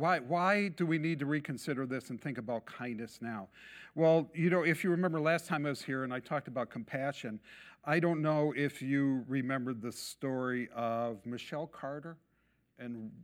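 A man with a plain, everyday voice, lively intonation and moderate pace on a very clean recording with a silent background. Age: 60s. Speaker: messianic congregation preacher. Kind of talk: sermon.

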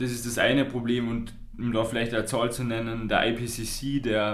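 In a Carinthian accent, a man talks at a fairly slow pace with a medium pitch, his intonation flat and monotone, and audible echo fills the room. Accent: Carinthian Austrian. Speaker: youth climate podcast co-host, climate activist. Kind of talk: casual podcast conversation. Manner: halting.

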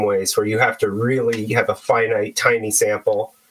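With an American accent, a man speaks at a moderate pace in an unremarkable speaking voice with lively intonation. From US, San Francisco Bay Area. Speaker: electronic musician. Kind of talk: casual interview chat. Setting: remote call.

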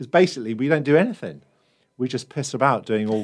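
In a British accent, a man speaks with ordinary pitch variation on a very clean recording with a silent background. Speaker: musician. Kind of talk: interview chat.

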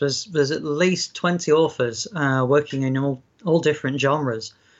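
In a South Yorkshire accent, the speaker talks at a moderate pace. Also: man. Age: 40s. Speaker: fantasy author. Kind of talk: interview.

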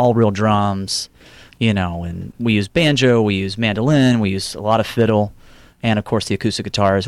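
In a normal speaking voice, a man with an American accent talks at a fairly low pitch with fairly even intonation, recorded very cleanly against a silent background with a dry, close sound and no echo. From Houston, Texas. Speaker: singer-songwriter. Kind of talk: casual interview.

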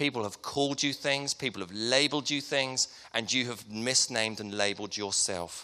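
In a southern English accent, a man speaks at a medium pitch and moderate pace, his tone bright and sharp with ordinary pitch variation. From Hertfordshire, England. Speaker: preacher. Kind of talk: sermon. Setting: church.

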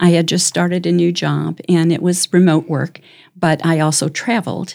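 A woman's plain, everyday voice with an American accent, fairly low in pitch, at a moderate pace. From US Midwest, Chicago suburbs. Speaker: community volunteer, guest. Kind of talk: casual interview.

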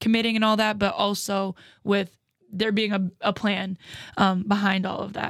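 A woman speaks at a medium pitch and a moderate pace in an unremarkable speaking voice. The recording is very clean, with a silent background. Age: 20s. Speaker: podcast host and college basketball player. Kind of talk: casual interview.

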